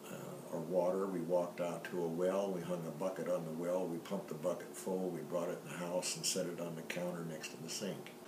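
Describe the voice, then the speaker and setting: With a Midwestern American accent, a man with a very deep, low pitch speaks in a relaxed tone at a moderate pace amid noticeable background noise and audible room echo. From US Midwest, western Illinois near Rock Island. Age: 70s. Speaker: family storyteller. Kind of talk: personal life story. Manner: relaxed, conversational with fillers.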